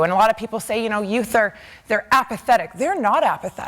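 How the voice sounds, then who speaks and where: Speaking with a Canadian accent, a woman with a plain, everyday voice has a fairly high pitch and lively intonation. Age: 20s. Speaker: political candidate. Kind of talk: campaign speech at town hall. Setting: stage with audience.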